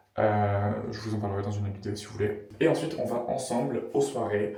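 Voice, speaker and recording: The recording carries audible room echo and noticeable background noise. A man is the speaker. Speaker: student vlogger. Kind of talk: casual vlog. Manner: casual, many fillers and hesitations.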